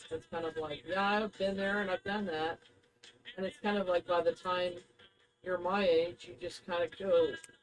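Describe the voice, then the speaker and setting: A woman at medium pitch talks at a moderate pace with fairly even intonation while music plays in the background. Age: 60s. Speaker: psychic intuitive podcast co-host. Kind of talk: casual chat.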